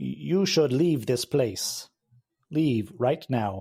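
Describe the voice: A man does a robotic, put-on character voice at a medium pitch. He speaks at a very slow pace.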